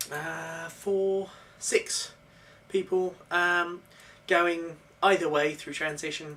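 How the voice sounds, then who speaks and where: A woman with a British accent speaks very slowly, her pitch rising and falling in an ordinary way. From UK. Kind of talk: casual vlog talk to camera.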